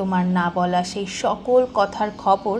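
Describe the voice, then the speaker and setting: Over noticeable background noise, a woman speaks in a calm tone. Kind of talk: emotional spoken-word voiceover. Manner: soft, calm, heartfelt.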